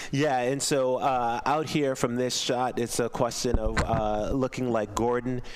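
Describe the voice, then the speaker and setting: Speaking with an American accent, a man at medium pitch goes at a fairly slow pace with hardly any pauses, very even loudness and monotone, flat intonation, over noticeable background noise. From US Mid-Atlantic. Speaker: rowing commentator. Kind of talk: live commentary.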